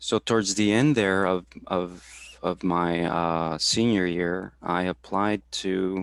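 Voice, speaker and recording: A man with a Spanish accent speaks in a very deep, low pitch with fairly even intonation, on a very clean recording with a silent background. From Houston, Texas. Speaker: supervisor for veterans, career talk presenter. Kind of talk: career talk interview. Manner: halting, many fillers and repetitions.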